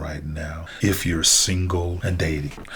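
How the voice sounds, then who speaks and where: Amid noticeable background noise and audible room echo, a man with a Southern US accent speaks at a moderate pace in a very deep, low pitch. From US South. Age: 60s. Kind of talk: inspirational monologue. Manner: halting.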